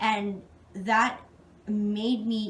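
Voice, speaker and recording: A woman with a fairly high pitch, over noticeable background noise. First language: not English. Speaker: job interview candidate. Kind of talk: job interview answers. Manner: halting; formal.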